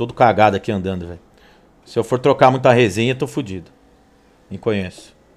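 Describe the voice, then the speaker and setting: A man talks fairly quickly, with ordinary pitch variation. His loudness swings widely, and he takes long, frequent pauses. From Brazil. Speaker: sim racing streamer. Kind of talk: live gameplay commentary. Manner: animated. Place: home room.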